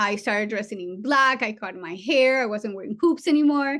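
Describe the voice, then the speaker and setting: With a non-native accent and ordinary pitch variation, a woman speaks over a quiet background. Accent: foreign. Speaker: trauma surgeon. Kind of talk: seminar talk. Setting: virtual seminar.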